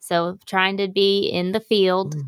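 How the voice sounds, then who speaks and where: A woman with an ordinary speaking voice, medium pitch and fairly even intonation at a fairly slow pace, with a dry, close sound and no echo. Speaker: pastor's daughter, guest. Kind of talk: call-in radio talk show.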